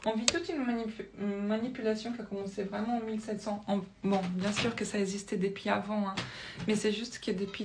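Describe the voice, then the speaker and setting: The voice is monotone with flat intonation at a moderate pace, with audible room echo and noticeable background noise. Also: woman. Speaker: spiritual video creator. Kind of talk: casual monologue to camera, explaining with drawings. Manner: hesitant, many fillers and restarts.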